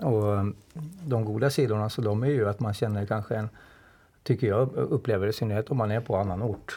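A dark, mellow tone in a man's somewhat breathy voice. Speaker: artist and cartoonist. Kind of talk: casual discussion.

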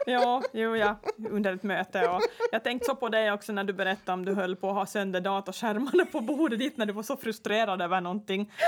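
A woman talks at a fairly quick pace in a normal speaking voice. Her pitch is medium, with ordinary variation. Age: 40s. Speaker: podcast host. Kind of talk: casual chat.

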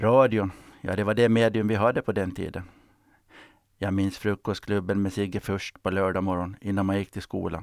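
A man speaks in a flat monotone at a fairly low pitch. The recording is very clean and dry, close-miked with a silent background and no echo. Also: moderate pace. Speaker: retired sea captain. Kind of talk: scripted narration.

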